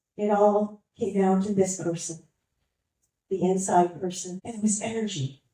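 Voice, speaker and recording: A dark, mellow, somewhat breathy tone with ordinary pitch variation. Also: woman. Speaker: motivational speaker. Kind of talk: motivational talk to a live audience.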